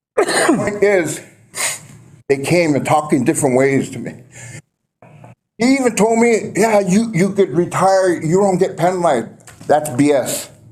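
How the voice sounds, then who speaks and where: A man with an American accent speaks at a high pitch and a fairly slow pace, with lively intonation. His long, frequent pauses carry audible room echo. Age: 60s. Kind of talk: public comment at council meeting. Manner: emotional, aggrieved.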